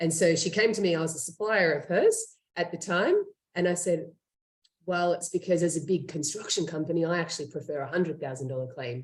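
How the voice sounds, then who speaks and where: A woman talks at a fairly quick pace in an Australian accent. Her voice is somewhat breathy and fairly low-pitched, with ordinary pitch variation. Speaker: startup co-founder and CEO. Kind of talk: interview.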